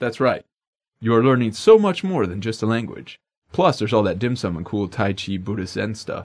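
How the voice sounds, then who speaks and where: A man of medium pitch speaks with lively intonation. The recording is very clean, the background silent. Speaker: language lesson co-host. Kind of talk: scripted language lesson. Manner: fast.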